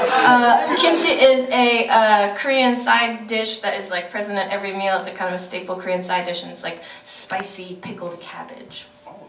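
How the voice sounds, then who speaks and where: With lively intonation and big swings in loudness, a woman at medium pitch speaks at a moderate pace over noticeable background noise. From Korean American. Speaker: performance poet. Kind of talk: casual stage banter to a live audience. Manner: energetic, excited.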